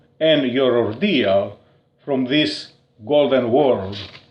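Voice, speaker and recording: A man with a Greek accent. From Crete, Greece. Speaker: poet. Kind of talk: poetry reading. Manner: slow.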